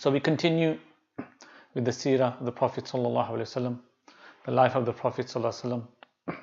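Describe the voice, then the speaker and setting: A man talks at a very fast pace with fairly even intonation and long, frequent pauses. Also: medium pitch for a man. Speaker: Islamic teacher. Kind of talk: lecture. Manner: soft-spoken; halting.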